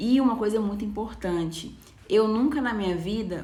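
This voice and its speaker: A somewhat breathy voice with ordinary pitch variation and audible room echo. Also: woman. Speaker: nail designer. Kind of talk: live stream talk to viewers. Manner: casual, conversational.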